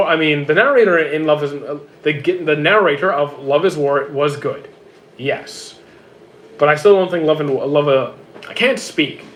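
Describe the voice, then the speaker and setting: Against noticeable background noise, a man talks at a fairly high pitch with ordinary pitch variation. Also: moderate pace. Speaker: streamer reading chat. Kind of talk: casual, conversational. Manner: stutters heavily, frequent hesitations and repeated words.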